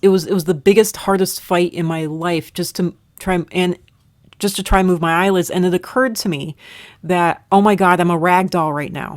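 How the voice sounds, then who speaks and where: A woman at a moderate pace with fairly even intonation, on a very clean recording with a silent background. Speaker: content creator recounting near-death experience. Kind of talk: personal testimony. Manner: halting.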